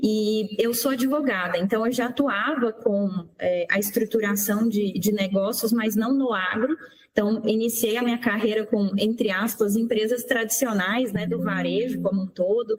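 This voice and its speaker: A woman with a Goiás accent speaks in a fairly high pitch with fairly even intonation. Her loudness stays very even against noticeable background noise. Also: moderate pace. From Brazil, Goiânia, Goiás (Center-West). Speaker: lawyer, agribusiness association executive. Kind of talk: radio interview.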